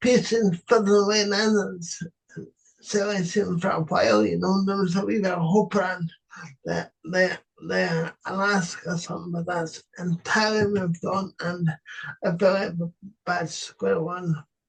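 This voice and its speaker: A man's high voice in a Scottish accent, fairly even in intonation and fairly slow in pace. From Scotland, East Lothian. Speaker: podcast interviewer. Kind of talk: political interview. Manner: halting, filler words.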